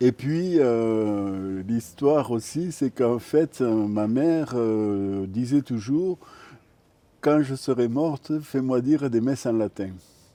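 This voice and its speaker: Against a quiet background, a man with a dark, mellow tone and a medium pitch talks at a very slow pace, with ordinary pitch variation and big swings in loudness. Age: 60s. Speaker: retired care assistant, pilgrim. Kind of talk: interview testimony. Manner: hesitant, many fillers.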